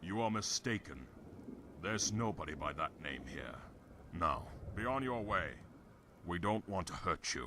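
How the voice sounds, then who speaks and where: A raspy, put-on character voice moves at a moderate pace with long, frequent pauses over clear background noise. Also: man, fairly low pitch for a man. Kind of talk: fantasy game voice acting. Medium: video game. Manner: menacing, impatient.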